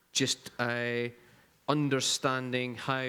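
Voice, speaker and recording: In a very clean recording with a silent background, a man with a Scottish accent speaks at medium pitch in a bright, sharp tone and a monotone, flat intonation. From Scotland. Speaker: strategic designer. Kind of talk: panel discussion.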